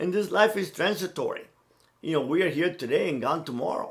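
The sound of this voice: This man talks fairly quickly in a fairly high pitch with lively intonation.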